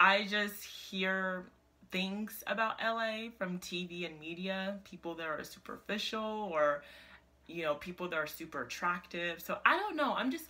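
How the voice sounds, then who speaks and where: At a fairly slow pace, a woman with a medium pitch and ordinary pitch variation speaks in an animated tone that sounds bright and sharp. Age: 20s. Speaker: lifestyle vlogger. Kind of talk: casual vlog. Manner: animated, filler-heavy.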